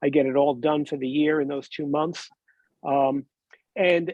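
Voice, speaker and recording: A man at a moderate pace, with ordinary pitch variation and a dry, close sound with no echo. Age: 60s. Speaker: cancer survivor panelist. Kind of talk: panel testimony. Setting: webinar. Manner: halting.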